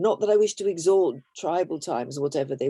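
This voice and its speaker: In a British accent, a woman talks at a moderate pace with a dark, mellow tone, the sound dry and close with no echo. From Britain, half Irish, half Belgian. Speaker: author. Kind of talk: interview.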